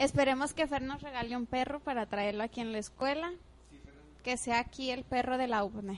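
Her voice high-pitched and animated, a woman talks at a fairly quick pace with big swings in loudness. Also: ordinary pitch variation. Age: 20s. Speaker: student radio host. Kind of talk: casual chat.

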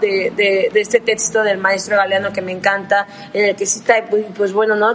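Noticeable background noise sits behind this recording. A woman speaks at a fairly high pitch with monotone, flat intonation. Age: 20s. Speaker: law student. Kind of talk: podcast discussion.

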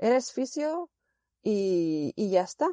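A woman speaks in a dark, mellow tone, her sound dry and close with no echo. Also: quiet background. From Spain, Zaragoza. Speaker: physiotherapist. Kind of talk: remote interview answers. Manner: hesitant, many fillers.

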